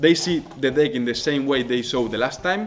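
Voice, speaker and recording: A man's fairly high voice with a Spanish accent, moderate pace and ordinary pitch variation. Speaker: magician. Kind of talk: tutorial. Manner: halting.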